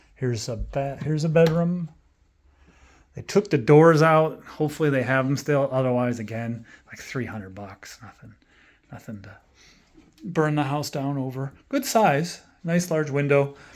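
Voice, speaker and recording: A man at a fairly high pitch and moderate pace, with ordinary pitch variation, big swings in loudness and long, frequent pauses, on a very clean recording with a silent background. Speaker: real estate agent giving a house tour. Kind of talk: casual walkthrough video tour. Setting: indoors walking through a house. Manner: casual, filler-heavy.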